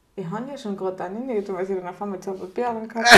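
A woman speaks with a strong Austrian accent. Her pitch is medium and her pace fairly quick. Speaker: podcast co-host. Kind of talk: casual chat.

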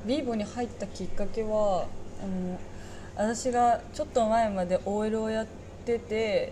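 An ordinary speaking voice: a woman with a fairly high pitch, talking at a fairly slow pace. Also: fairly even intonation. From Saga, Japan. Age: 20s. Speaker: restaurant part-time worker. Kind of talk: casual chat.

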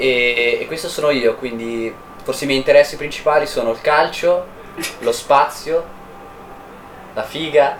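Noticeable background noise runs behind a man who speaks with long, frequent pauses. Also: fairly slow pace. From northern Italy, Valtellina. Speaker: podcast co-host, engineering student. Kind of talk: casual chat.

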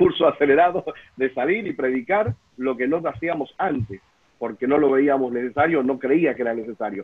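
Moderate speed, ordinary pitch movement and a fairly high pitch from a man in a normal speaking voice. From Buenos Aires, Argentina. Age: 40s. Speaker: pastor. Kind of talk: casual panel discussion. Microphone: unstable internet connection.

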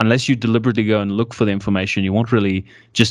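A man talks at a very fast pace in a fairly low voice with an American accent. His intonation stays fairly even over a quiet background. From South Africa (Pretoria), early childhood in US. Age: 20s. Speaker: podcast host. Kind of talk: casual interview conversation. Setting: video call.

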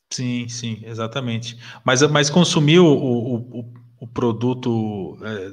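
This man has an ordinary speaking voice at a medium pitch. His intonation is fairly even. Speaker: podcast host. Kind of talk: casual interview chat. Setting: live stream.

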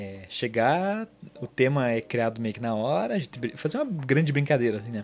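The man keeps a moderate pace. His pitch is medium. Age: 20s. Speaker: podcast host and mentor. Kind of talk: casual personal monologue. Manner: halting, many fillers.

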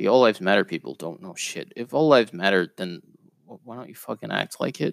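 A man talks at a moderate pace with vocal fry. The sound is dry and close, with no echo. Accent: American. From New York City, Queens. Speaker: podcast co-host. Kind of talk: solo monologue commentary. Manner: halting, many fillers.

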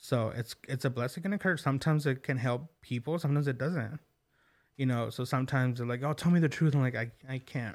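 A man with an American accent and medium pitch, very fast pace, ordinary pitch variation, very clean recording and silent background. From Oklahoma, US. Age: 30s. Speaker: podcast host. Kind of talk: casual interview. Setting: studio.

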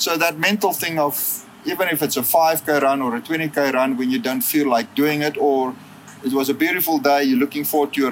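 The delivery is fairly quick with ordinary pitch variation, and there is noticeable background noise. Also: man. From South Africa, Western Cape (Worcester). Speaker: philanthropy and development professional, ultramarathon runner. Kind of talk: interview. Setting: in person, Johannesburg.

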